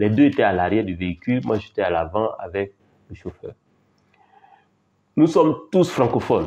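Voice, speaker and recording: The voice belongs to a man and has a dark, mellow tone. His intonation is lively. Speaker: language teacher. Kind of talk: casual storytelling. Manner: halting, with repetitions.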